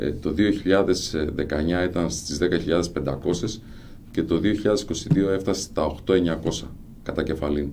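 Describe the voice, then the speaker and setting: A man with a very deep, low pitch and a dark, mellow tone speaks at a moderate pace with ordinary pitch variation, with audible room echo. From Greece, Xanthi (Thrace). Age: 50s. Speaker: local council candidate, businessman. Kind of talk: radio interview. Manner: hesitant, frequent fillers.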